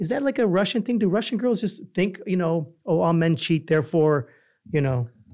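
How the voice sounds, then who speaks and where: A man speaks in a New York accent with a high pitch, lively intonation, and a moderate pace. His loudness stays very even on a very clean recording with a silent background. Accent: New York American. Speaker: podcast co-host. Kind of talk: casual chat.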